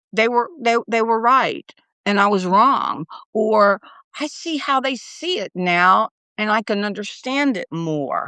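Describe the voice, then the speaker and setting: A woman speaks with a fairly high pitch. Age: 60s. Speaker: newsletter writer. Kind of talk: interview. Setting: livestream. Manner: halting.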